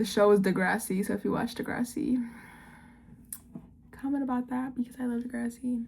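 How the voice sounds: With a fairly high pitch, vocal fry and a slightly mellow tone, a woman speaks with ordinary pitch variation. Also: moderate pace.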